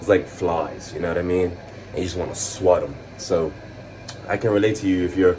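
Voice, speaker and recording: Over noticeable background noise, a man with a very deep, low pitch talks with fairly even intonation. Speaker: fitness vlogger. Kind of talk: casual vlog monologue. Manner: fast; fumbling over words.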